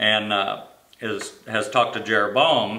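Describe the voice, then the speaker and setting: Audible room echo around a man's voice. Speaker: Sunday school teacher. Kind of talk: Bible teaching. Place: office. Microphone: camera far.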